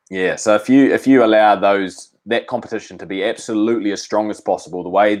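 Speaking with a New Zealand accent, a man has a fairly low pitch and fairly even intonation. His pace is fairly quick, and the background is quiet. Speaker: professional rugby player. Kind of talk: casual chat.

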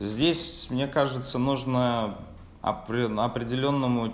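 A man speaks with audible room echo. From Russia, Samara region (Tolyatti). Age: 20s. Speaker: sales department manager. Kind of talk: interview. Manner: halting.

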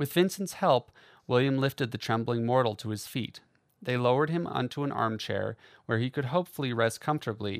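Text is read aloud in a natural voice. Pitch varies in an ordinary way.

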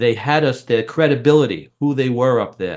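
Against a quiet background, the speaker has an American accent and ordinary pitch variation. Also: man. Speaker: public speaking coach. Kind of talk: interview. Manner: animated.

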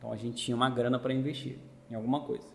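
A man is talking, his voice somewhat breathy. His pitch sits in the medium range. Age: 30s. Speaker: teacher and business owner. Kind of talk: casual chat.

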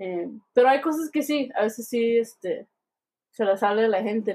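A woman speaks at a fairly slow pace in an unremarkable speaking voice. Her pitch sits fairly high. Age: 20s. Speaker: podcast host. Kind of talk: casual chat.

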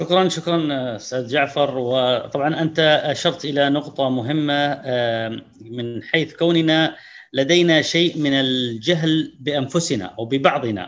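Speaking very slowly, a man uses a fairly high pitch. The pitch varies in an ordinary way. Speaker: moderator. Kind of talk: panel moderation. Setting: video call.

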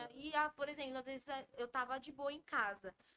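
A woman speaks in a raised, projected voice with a high pitch. Her tone is bright and sharp. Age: 20s. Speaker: donut shop owner. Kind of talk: casual chat.

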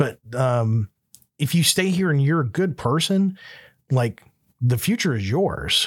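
A man with an American accent speaks at a fairly slow pace with long, frequent pauses, his fairly high, somewhat breathy voice swinging very widely in pitch. His loudness stays very even, and the recording is very clean with a silent background. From US South, Florida Panhandle (Panama City). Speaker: podcast host, business owner. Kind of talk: casual chat.

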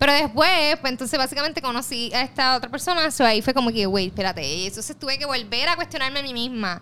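A woman projects her high voice in an animated tone with lively intonation. She talks very fast with hardly any pauses over noticeable background noise. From Puerto Rico, west. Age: 20s. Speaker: journalist and influencer. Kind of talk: casual interview.

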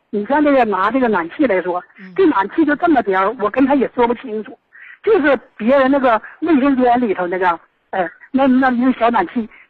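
A woman with a high pitch and lively intonation. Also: moderate pace. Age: 60s. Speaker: caller. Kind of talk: call-in complaint. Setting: phone call. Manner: halting.

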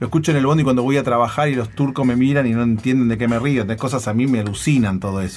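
A man speaks at a very fast pace with hardly any pauses. His pitch is medium and his intonation fairly even. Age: 40s. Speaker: internet entrepreneur and podcaster. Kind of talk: interview.

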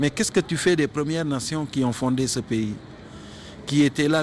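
With noticeable background noise behind him, a man talks in a fairly high pitch. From Senegal. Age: 50s. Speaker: media creator and cultural figure. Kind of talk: interview.

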